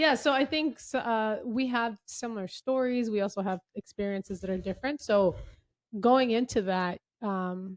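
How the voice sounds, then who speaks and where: In an American accent, a woman with an ordinary speaking voice and fairly high pitch talks at a moderate pace with ordinary pitch variation against a quiet background. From United States, Salvadoran and Mexican parents. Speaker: podcast co-host. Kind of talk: casual chat.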